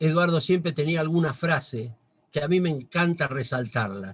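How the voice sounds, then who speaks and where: Speaking at a moderate pace, a man with an unremarkable speaking voice and a fairly high pitch uses lively intonation. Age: 60s. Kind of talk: religious talk. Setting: video call.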